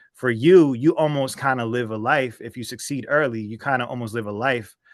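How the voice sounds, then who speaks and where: Over a quiet background, a man with a normal speaking voice talks at a fairly quick pace and medium pitch, with ordinary pitch variation. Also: big swings in loudness. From US Northeast, southern New Jersey (Atlantic City area). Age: 30s. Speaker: rap artist. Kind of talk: interview. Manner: casual, filler-heavy.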